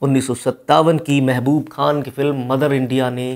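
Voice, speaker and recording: This man speaks at a fairly slow pace. The background is quiet. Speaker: presenter. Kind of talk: storytelling commentary. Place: studio. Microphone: lapel.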